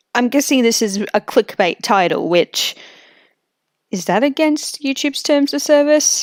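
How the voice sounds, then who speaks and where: The speaker has an Australian accent and lively intonation at a fairly slow pace. The sound is dry and close, with no echo. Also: woman, high pitch for a woman. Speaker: streamer reacting to videos. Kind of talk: live stream reaction commentary.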